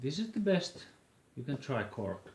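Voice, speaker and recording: A man's somewhat breathy voice with a Finnish accent, at a fairly slow pace. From Finland. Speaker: flute maker. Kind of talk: tutorial. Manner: halting.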